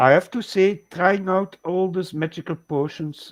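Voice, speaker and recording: In a Flemish accent, a man speaks at a fairly slow pace, with a dry, close sound with no echo on a very clean recording with a silent background. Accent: Belgian Dutch (Flemish) accent in English. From Belgium, Dutch and French speaking. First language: Dutch (also French). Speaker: live stream co-host. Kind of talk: casual chat. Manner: halting, searching for words.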